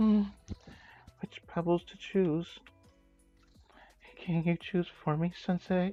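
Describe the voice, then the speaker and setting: Faint music plays behind a put-on character voice at a middle pitch. It sounds shaky and goes at a fairly slow pace with long, frequent pauses. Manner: trembling.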